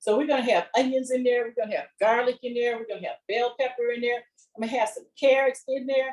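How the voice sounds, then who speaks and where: A woman talks at a very fast pace. Her voice is high with fairly even intonation. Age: 70s. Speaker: chef. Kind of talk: cooking demonstration. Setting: virtual class. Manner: conversational, many fillers.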